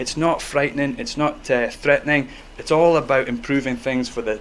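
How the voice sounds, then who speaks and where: A man speaks at a fairly quick pace with a Scottish accent, his pitch sitting in the medium range. Noticeable background noise runs beneath his voice. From Scotland. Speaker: medical professor. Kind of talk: public talk. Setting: stage with audience. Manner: animated.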